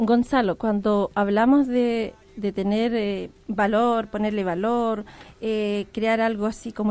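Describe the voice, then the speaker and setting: Her intonation fairly even, a woman speaks at a fairly high pitch in a plain, everyday voice. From Arauco, Chile. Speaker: tourism operator. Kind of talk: radio interview.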